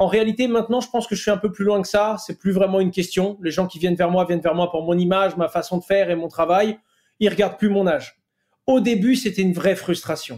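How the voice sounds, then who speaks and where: A man speaks in a high pitch with fairly even intonation and big swings in loudness. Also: fairly quick pace. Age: 20s. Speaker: entrepreneur and youtuber. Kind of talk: podcast interview.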